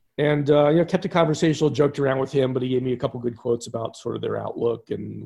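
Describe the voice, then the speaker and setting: A man with an American accent talks at a very fast pace, his dark, mellow tone sitting at medium pitch with vocal fry and ordinary pitch variation. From Philadelphia. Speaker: sports writer. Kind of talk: casual chat.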